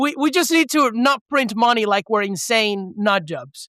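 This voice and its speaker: In a Venezuelan accent, a man speaks at an extremely high pitch in a raised, projected voice. His intonation is lively, and the sound is dry and close with no echo. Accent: mild Venezuelan Spanish. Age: 20s. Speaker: economist. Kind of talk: podcast interview.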